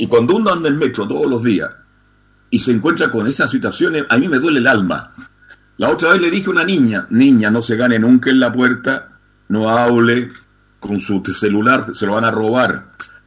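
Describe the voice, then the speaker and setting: A man with a normal speaking voice talks at a moderate pace and medium pitch, using lively intonation. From Chile. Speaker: radio host and journalist. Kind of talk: call-in radio talk show. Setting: radio studio.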